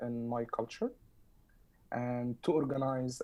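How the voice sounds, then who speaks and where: A man with an Arabic accent, medium in pitch, dark and mellow in tone, at a fairly slow pace. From southern Egypt. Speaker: community activist. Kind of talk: roundtable discussion. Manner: halting, many fillers.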